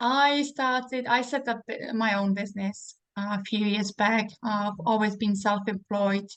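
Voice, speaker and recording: A woman's fairly high voice in a Czech accent, with fairly even intonation at a fairly slow pace. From Czech Republic, Prague. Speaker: network marketing seller. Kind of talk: casual interview.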